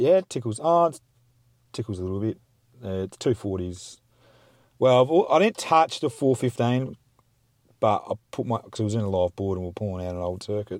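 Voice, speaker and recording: With an Australian accent, a man talks at a moderate pace in a medium pitch, his intonation lively and his speech broken by long, frequent pauses, on a very clean recording with a silent background. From South Australia, Mount Gambier. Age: 30s. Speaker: podcast guest, mine worker. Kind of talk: casual chat.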